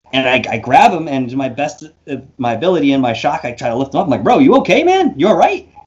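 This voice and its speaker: A man with a New York accent, fairly high pitch, lively intonation and a very fast pace. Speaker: paranormal investigator and YouTuber; YouTuber. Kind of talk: interview storytelling. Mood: reflective, eyes often closed. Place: home room. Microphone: studio mic.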